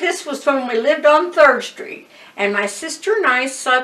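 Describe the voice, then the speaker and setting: A woman uses a raised, projected voice at a fairly slow pace. Her pitch swings very widely. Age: 80s+. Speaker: retired piano teacher. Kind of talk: interview answer. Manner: casual storytelling. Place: home room.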